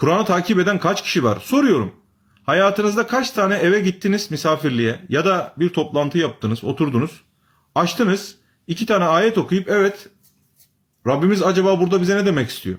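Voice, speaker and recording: Speaking fairly quickly, a man uses a high pitch and lively intonation. His loudness stays very even. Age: 30s. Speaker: religious commentator. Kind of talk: live stream talk to viewers. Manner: animated.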